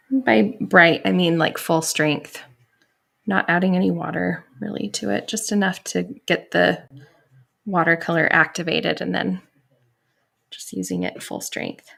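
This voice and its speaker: A woman speaks at a fairly slow pace, pausing often and at length. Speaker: watercolor artist and teacher. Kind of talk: painting tutorial. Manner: casual.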